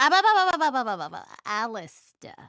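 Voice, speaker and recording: A high-pitched put-on character voice from a woman, fairly quick, with very wide pitch swings and a quiet background. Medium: audio drama.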